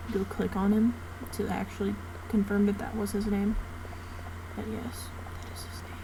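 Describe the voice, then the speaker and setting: Long, frequent pauses break up a woman's moderately paced speech, heard with noticeable background noise and audible room echo. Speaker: gaming youtuber. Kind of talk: casual gameplay commentary. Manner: hesitant, many fillers. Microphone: no mic, computer mic, quiet audio.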